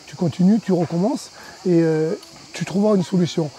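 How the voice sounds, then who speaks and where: This man's voice is pitched high and moves at a moderate speed, with noticeable noise behind it. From southern France, Cévennes (Anduze). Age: 50s. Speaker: adventure park founder. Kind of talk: interview. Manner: halting, many hesitations.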